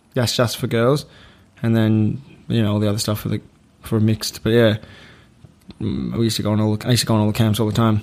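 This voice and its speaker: Very fast speech with an Australian accent, fairly even intonation, and long, frequent pauses. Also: man, fairly low pitch for a man. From Australia, Melbourne. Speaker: comedian. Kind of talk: casual chat.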